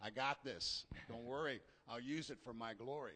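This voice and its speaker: A man's bright, sharp voice sits at a medium pitch with ordinary pitch variation. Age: 60s. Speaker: church member. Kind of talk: testimony. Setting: church.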